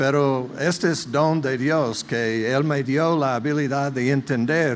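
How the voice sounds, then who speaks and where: With audible room echo, a man speaks very slowly in a fairly high pitch and fairly even intonation. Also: very even loudness. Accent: strong non-native. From United States. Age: 70s. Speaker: visiting pastor. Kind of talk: sermon. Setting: church.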